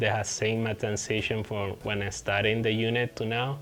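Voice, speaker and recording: A man with a Puerto Rican accent at medium pitch, music in the background. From Puerto Rico. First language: Spanish. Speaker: veteran hiker vlogger. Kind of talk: casual vlog update. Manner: halting, hesitant with repetitions.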